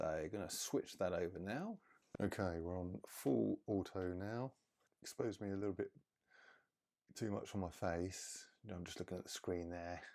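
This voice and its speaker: A soft-spoken man with a British accent, very deep and low in pitch, dark and mellow in tone, with ordinary pitch variation at a moderate pace. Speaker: camera reviewer. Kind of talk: tutorial.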